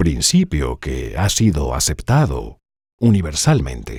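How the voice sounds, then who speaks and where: Vocal fry colors this voice, which moves at a very slow pace. The pitch swings very widely. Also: man, very deep, low pitch for a man. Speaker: voice actor. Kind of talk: dubbed first-person science lecture.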